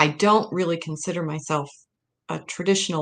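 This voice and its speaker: A woman speaks at a moderate pace with a Midwestern American accent, her very deep, low pitch held to a fairly even intonation against a quiet background. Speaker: historian and author. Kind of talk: interview presentation.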